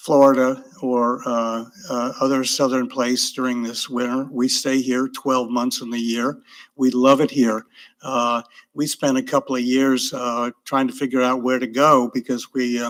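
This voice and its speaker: A man's medium-pitched, flat, monotone delivery at a fairly slow pace. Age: 80s. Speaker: retired teacher, public commenter. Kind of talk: public comment at council meeting. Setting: city council meeting. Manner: halting, many fillers.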